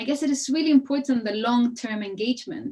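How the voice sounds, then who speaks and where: A woman with a Spanish accent, high-pitched, at a moderate pace. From Chile. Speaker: architect and researcher. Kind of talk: panel discussion. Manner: hesitant, many fillers.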